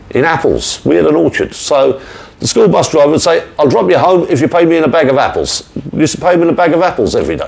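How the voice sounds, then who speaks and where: A man talks very fast at very even loudness over noticeable background noise. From Ireland, rural, near the River Shannon. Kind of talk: personal storytelling monologue. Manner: repetitive, conversational.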